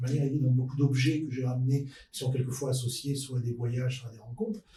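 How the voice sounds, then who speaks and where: A man speaks very fast at a medium pitch, his tone dark and mellow. His voice is somewhat breathy, with fairly even intonation. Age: 60s. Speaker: podcast guest, futurist expert. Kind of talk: panel discussion.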